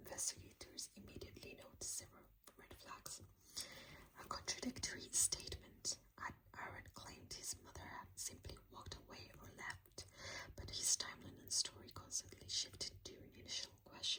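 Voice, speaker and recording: Whispering at a moderate pace. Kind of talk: ASMR true crime narration. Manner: whispered.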